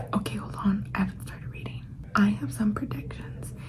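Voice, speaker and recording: A fairly quick pace with noticeable background noise behind it. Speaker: book vlogger. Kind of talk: reading vlog commentary. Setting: at work. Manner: soft-spoken whisper.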